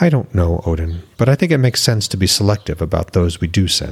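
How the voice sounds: Putting on a character voice, a man speaks at a fairly quick pace in a low pitch with a slightly husky edge and lively intonation.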